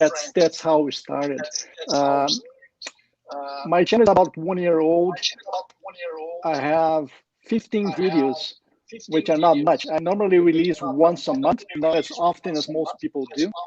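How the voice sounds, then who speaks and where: A man at a fairly high pitch and fairly slow pace, with ordinary pitch variation and long, frequent pauses. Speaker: motorcycle camping YouTuber. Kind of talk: casual chat.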